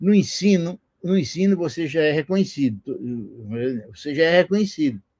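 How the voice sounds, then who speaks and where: A somewhat breathy man talks with lively intonation. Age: 70s. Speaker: retired physics professor. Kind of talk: interview. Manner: halting, many repetitions.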